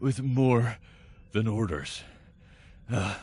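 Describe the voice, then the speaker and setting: Putting on a character voice, a man speaks at a medium pitch with ordinary pitch variation. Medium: audio drama. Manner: hesitant, full of filler words.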